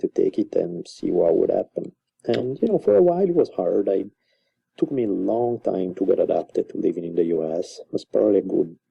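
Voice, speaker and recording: With an Italian accent, a man speaks at a fairly quick pace. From Italy, Milan. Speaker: author and university teacher. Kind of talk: casual interview.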